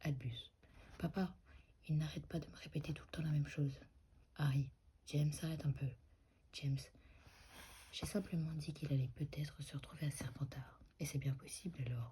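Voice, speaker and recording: Soft-spoken and at a moderate pace, the speaker leaves long, frequent pauses. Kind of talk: ASMR dramatic reading of dialogue lines. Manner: soft-spoken, slightly inaudible.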